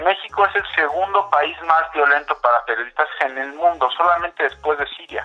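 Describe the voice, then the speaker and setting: With noticeable background noise, a man with fairly high pitch talks at a moderate pace, hardly pausing and with ordinary pitch variation. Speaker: political analyst at an NGO. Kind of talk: interview. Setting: phone call. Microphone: phone line.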